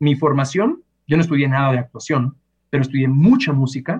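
The speaker talks at a fairly quick pace in a somewhat breathy voice with a Mexican accent. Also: man. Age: 30s. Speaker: voice actor and singer. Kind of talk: interview.

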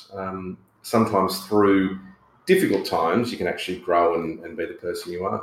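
A man with an Australian accent talks at a fairly quick pace, with audible room echo. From Australia, rural New South Wales. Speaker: radio presenter and political candidate. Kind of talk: interview.

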